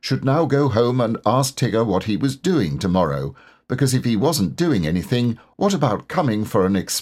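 Lively intonation carried by an unforced reading voice

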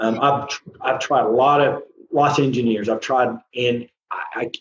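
A man speaks with an Oklahoma accent. His pace is fairly slow and his intonation fairly even. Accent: Southern US, Oklahoma. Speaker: composer and musician. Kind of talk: casual interview chat.

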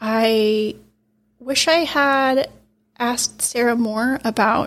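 A soft-spoken woman's fairly high voice at a very slow pace. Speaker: podcast host. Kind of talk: interview.

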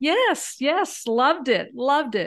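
With a Southern US accent, a woman speaks at a fairly slow pace with ordinary pitch variation against a quiet background. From US South, Alabama. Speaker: podcast co-host, retired house sitter. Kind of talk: interview, life story.

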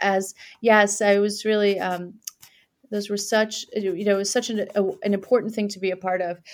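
Speaking in a flat monotone, a woman with a New York accent holds a medium pitch. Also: moderate pace. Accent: American, New York area. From Iran, raised in New York area from childhood. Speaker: political candidate, former prosecutor. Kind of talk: interview. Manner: hesitant, with fillers.

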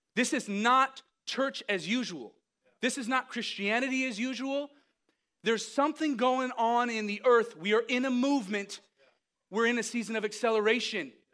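Extremely high in pitch, a man talks with a bright, sharp tone at a moderate pace and ordinary pitch variation. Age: 30s. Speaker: preacher. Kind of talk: sermon.

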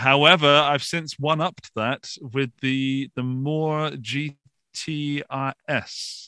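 The delivery is very slow, with a bright, sharp tone. The sound is dry and close, with no echo. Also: man, fairly high pitch for a man, fairly even intonation. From England, Forest of Dean, Gloucestershire. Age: 40s. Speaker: YouTuber and podcaster. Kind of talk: interview. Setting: video call from home studio.

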